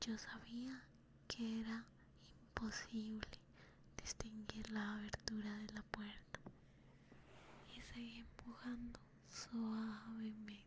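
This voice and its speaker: Whispering and soft-spoken, a woman talks at a very slow pace, somewhat breathy, with long, frequent pauses. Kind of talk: whispered ASMR story reading. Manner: whispered, soft.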